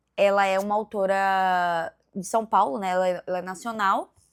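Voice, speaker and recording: Here a woman speaks at a medium pitch with fairly even intonation. The recording is very clean, with a silent background. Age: 20s. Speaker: book vlogger. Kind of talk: casual vlog chat.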